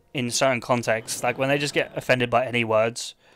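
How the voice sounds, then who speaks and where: Over a silent background in a very clean recording, a man talks fairly quickly at medium pitch with monotone, flat intonation. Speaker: video game streamer. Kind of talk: casual live-stream chat. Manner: talking non-stop.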